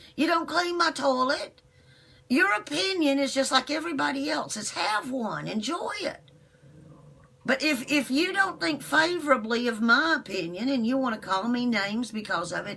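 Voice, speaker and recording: High-pitched, raised and projected woman's voice at a moderate pace, with very wide pitch swings and noticeable background noise. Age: 60s. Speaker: internet radio host. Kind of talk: live stream monologue. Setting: live video broadcast. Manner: animated.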